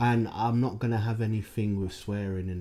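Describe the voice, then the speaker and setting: A man with a London accent speaks at a moderate pace in a dark, mellow tone. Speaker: podcast host. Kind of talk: casual chat. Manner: frequent fillers, says like a lot.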